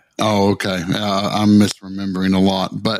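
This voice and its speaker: At a moderate pace, a man with a Tennessee accent speaks in a fairly low, monotone voice with flat intonation. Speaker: podcast co-host.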